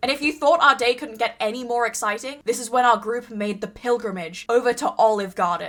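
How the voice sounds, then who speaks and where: With an Australian accent, a woman speaks at a fairly quick pace and a high pitch, hardly pausing, over noticeable background noise. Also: ordinary pitch variation. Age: 20s. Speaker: streamer and YouTuber. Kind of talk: vlog voiceover narration.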